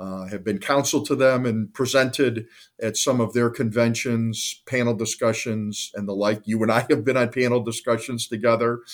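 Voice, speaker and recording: A man with an American accent uses a normal speaking voice at a medium pitch and moderate pace, with fairly even intonation and hardly any pauses, in a very clean recording with a silent background. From northeastern Ohio (Cleveland). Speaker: lawyer. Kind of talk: interview. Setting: call.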